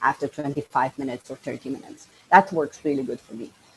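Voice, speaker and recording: Her pitch varies in an ordinary way as the woman speaks. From Slovenia. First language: not English. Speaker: coach and podcaster. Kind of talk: podcast interview.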